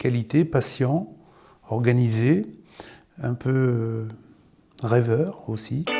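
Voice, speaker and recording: Very slowly, a man speaks in a dark, mellow tone at a medium pitch. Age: 60s. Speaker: job seeker from heavy industry. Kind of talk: self-presentation interview. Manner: halting.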